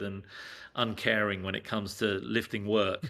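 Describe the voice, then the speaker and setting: A man talks with a London accent. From England. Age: 60s. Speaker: screen-print artist, former advertising executive. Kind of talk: casual interview chat.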